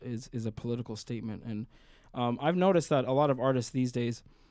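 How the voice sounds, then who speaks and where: A man with an American accent talks at medium pitch, keeping a moderate pace. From Sudan, moved to US at five. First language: Arabic. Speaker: singer and musician. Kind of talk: interview. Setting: studio.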